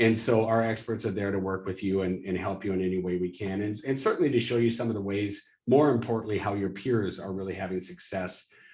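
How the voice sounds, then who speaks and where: A man with a fairly low pitch keeps his intonation fairly even while talking at a fairly quick pace. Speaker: webinar host for a fundraising software company. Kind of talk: live webinar presentation with sales pitch. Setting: live webinar. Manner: fast.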